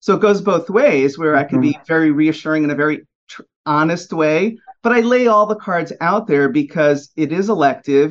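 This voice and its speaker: A man talks at a moderate speed in an unremarkable speaking voice, his pitch varying in an ordinary way. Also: fairly high pitch for a man. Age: 50s. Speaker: fertility specialist. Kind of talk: interview.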